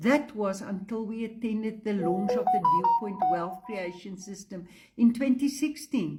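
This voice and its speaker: A woman's fairly high voice at a fairly slow pace, ordinary in pitch variation, with music in the background. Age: 70s. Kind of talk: testimonial sales pitch.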